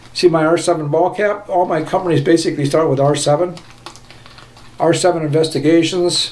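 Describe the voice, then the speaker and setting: The speaker talks at a fairly slow pace with fairly even intonation. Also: man. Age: 70s. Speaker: shaving video creator. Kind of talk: casual video monologue. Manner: rambling, casual. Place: home room. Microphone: phone near.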